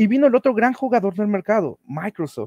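The background is quiet and the sound is dry, with no echo. A man talks at a moderate pace. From Mexico. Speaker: data and business intelligence lead at a health organization. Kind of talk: conference talk. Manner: halting, with frequent fillers and repetitions. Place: home room.

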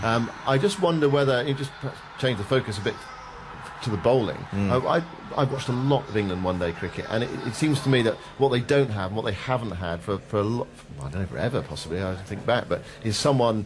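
A man rattles along at a very fast pace while noticeable background noise runs underneath. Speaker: cricket radio summariser. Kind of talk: radio commentary, lead presenter steering discussion. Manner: measured, clear, formal, steady pace. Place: booth.

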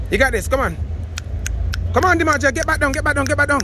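Here a man is speaking, the sound dry with no echo. Light background noise can be heard. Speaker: workout coach. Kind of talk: motivational coaching and counting reps. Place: street.

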